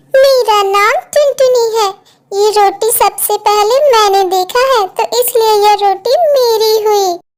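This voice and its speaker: A woman's cartoonish character voice at an extremely high pitch, fairly slow in pace, with ordinary pitch variation. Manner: sweet, earnest.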